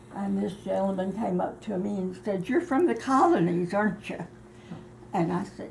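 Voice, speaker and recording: A woman speaks amid noticeable background noise, with audible room echo in the recording. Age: 80s+. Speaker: eyewitness interviewee. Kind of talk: interview. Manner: halting.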